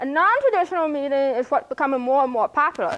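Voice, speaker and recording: A woman speaks at a very fast pace with an American accent. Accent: speech of a hearing impaired person. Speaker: graduate student presenting capstone. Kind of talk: presentation. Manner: halting.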